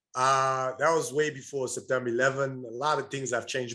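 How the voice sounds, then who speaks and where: Captured in a very clean recording with a silent background, a man speaks with a bright, sharp tone at a fairly high pitch. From Burundi, East Africa. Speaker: entrepreneur. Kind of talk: interview.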